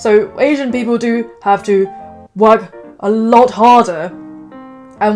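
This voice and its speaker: Music plays in the background as a woman with a British accent speaks with fairly even intonation. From England. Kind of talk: casual talk to camera.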